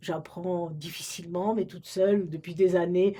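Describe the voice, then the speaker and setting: A woman's voice, dark and mellow in tone, moves at a moderate pace. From Romania, French-speaking family. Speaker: retired librarian. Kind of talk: oral history interview. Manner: halting, many hesitations.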